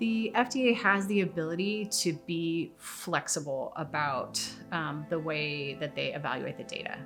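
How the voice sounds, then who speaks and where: A woman's fairly low-pitched voice with lively intonation, at a moderate pace with hardly any pauses, over music in the background. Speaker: mother of a patient. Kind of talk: interview answer.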